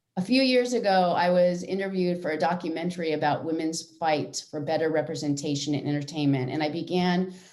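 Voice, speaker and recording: The speech moves at a moderate pace, its pitch varying in an ordinary way. The voice is a plain, everyday voice. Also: woman. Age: 60s. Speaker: union president and actor. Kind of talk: prepared speech. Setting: virtual event. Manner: formal.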